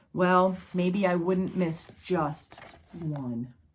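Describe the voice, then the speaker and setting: A woman's put-on character voice at a medium pitch. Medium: read story.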